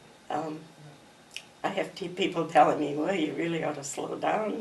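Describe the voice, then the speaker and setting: Her pitch is fairly low and her intonation fairly even. Audible room echo surrounds this woman's voice. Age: 80s+. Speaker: artist. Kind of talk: interview.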